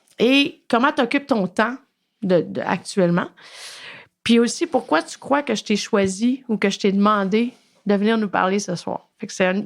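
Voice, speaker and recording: This woman talks with a Quebec accent at a fairly slow pace. Her intonation is lively. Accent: Québécois French. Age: 40s. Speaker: podcast host and addiction therapist. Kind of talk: interview.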